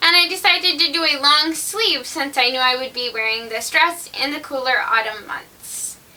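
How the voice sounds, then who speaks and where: The voice is raised and projected at a moderate pace. There are hardly any pauses. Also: woman, high pitch for a woman. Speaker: home sewist. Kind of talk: sewing tutorial voice-over.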